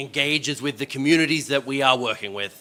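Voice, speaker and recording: Here a man speaks at a fairly high pitch. His pitch variation is ordinary. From Australia. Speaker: panel moderator. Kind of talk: event moderation. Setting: stage with audience. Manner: animated.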